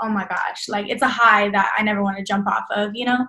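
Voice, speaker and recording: A woman with an American accent speaks in a normal speaking voice, fairly high in pitch with fairly even intonation. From Texas, Dallas. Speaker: fashion designer. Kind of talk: casual interview.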